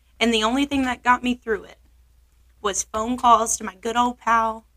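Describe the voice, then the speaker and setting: A woman speaks at a moderate pace with an American accent, her pitch high and her tone bright and sharp. The sound is dry and close, with no echo. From Oklahoma. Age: 20s. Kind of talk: casual chat.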